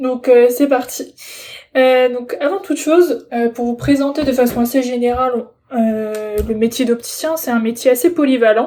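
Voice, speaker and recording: A woman's high, dark and mellow voice at a fairly slow pace with ordinary pitch variation. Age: 20s. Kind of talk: personal presentation. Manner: hesitant, many fillers.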